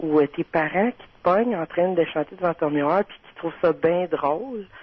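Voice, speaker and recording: At a moderate pace, a woman speaks with a Quebec accent at a fairly low pitch. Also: ordinary pitch variation. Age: 30s. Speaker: caller. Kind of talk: casual chat.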